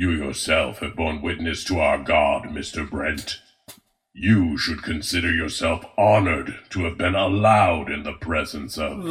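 A man's put-on character voice, raspy and very deep, low in pitch. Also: moderate pace. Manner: cold, formal.

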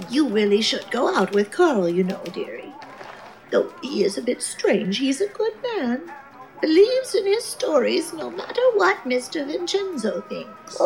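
Her pitch is high and swings very widely as this woman speaks at a moderate pace over clear background noise. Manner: sweet, fussy.

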